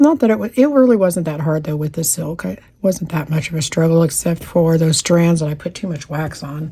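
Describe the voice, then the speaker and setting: A quiet woman with an American accent talks at a fairly quick pace with hardly any pauses, lively intonation and a fairly low pitch. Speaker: cross stitch youtuber. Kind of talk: casual chat while crafting. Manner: talking quietly.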